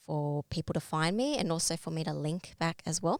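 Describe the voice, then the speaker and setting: A woman's very deep, low voice with an Australian accent, at a moderate pace with ordinary pitch variation, dry and close with no echo. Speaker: LinkedIn branding workshop presenter. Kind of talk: online workshop presentation. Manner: hesitant fillers.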